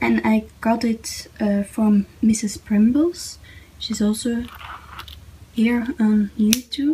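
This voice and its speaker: A woman with a non-native accent at a very slow pace, ordinary pitch variation, very even loudness, long, frequent pauses and noticeable background noise. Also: fairly high pitch for a woman. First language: not English. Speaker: YouTuber, planner/journaling hobbyist. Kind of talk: casual tutorial / show-and-tell. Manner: halting, many fillers.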